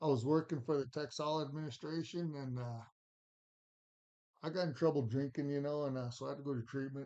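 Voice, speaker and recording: With an American accent, a man speaks at a fairly quick pace in a fairly high pitch, his tone dark and mellow, his intonation fairly even, broken by long, frequent pauses. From Montana. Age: 50s. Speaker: recovering addict, former boxer. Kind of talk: testimony. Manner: halting.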